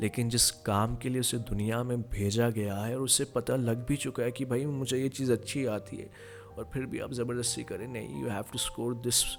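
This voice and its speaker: Over background music, a man talks at a medium pitch with fairly even intonation. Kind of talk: motivational podcast talk.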